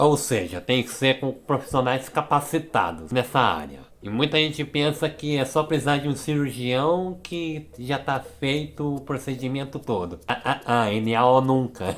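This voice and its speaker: A man talks in an ordinary speaking voice at medium pitch, with ordinary pitch variation, a fairly slow pace and hardly any pauses. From Brazil. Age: 20s. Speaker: youtuber. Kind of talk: educational vlog.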